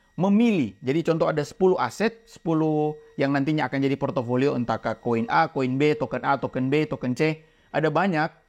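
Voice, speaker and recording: Against a quiet background, a man with a fairly high voice talks fairly quickly, with ordinary pitch variation. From Indonesia, outside Jakarta. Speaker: crypto trading educator. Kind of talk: casual educational chat. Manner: clear, emphatic speech.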